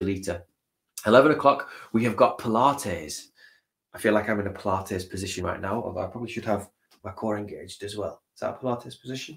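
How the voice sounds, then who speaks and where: A man talks at a fairly quick pace in a fairly low, somewhat breathy voice with ordinary pitch variation. His loudness swings widely. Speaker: stream host. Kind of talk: casual livestream chat. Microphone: webcam.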